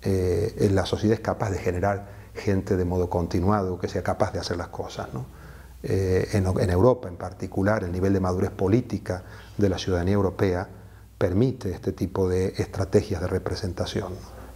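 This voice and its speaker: At a moderate pace, a man talks with a very deep, low pitch, a dark, mellow tone, a somewhat breathy quality and fairly even intonation. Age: 60s. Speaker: activist, association founder; interviewee. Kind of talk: interview. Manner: measured, frequent hesitations. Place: home room. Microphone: lapel.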